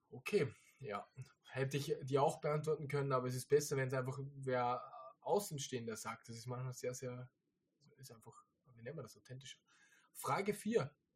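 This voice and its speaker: Somewhat breathy, a man at a medium pitch speaks at a moderate pace with ordinary pitch variation, big swings in loudness and long, frequent pauses. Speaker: podcast host, online reseller business owner. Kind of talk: casual chat.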